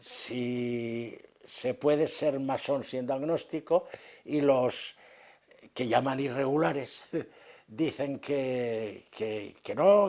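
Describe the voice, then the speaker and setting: Medium pitch and ordinary pitch variation in a man's speech. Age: 80s+. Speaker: retired freemason. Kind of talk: interview. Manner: halting.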